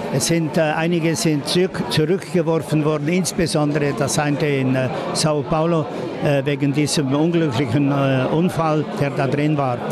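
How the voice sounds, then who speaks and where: Loud background noise runs behind a man talking at a moderate pace. The sound itself is dry, with no echo. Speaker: football association president. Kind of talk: interview answer. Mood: relaxed, confident. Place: hall.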